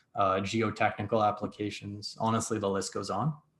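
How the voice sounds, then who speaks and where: An unremarkable speaking voice belongs to a man at a medium pitch. He talks at a moderate pace against a quiet background. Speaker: data science instructor. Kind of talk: lecture.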